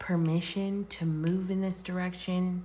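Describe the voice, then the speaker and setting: The voice is somewhat breathy, with monotone, flat intonation and a very slow pace. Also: woman. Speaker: tarot reader. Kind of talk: tarot reading. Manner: shaky.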